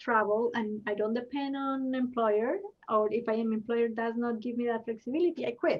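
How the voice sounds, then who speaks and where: A woman with a Spanish accent speaks at a high pitch and a moderate pace, her intonation fairly even. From Colombia. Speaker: intercultural development consultant. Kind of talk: panel discussion. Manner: somewhat choppy English.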